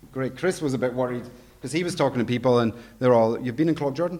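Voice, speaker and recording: The speaker has a Scottish accent and a very fast pace. The intonation is lively. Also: man. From Scotland. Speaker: education director, conference speaker. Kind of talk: conference presentation.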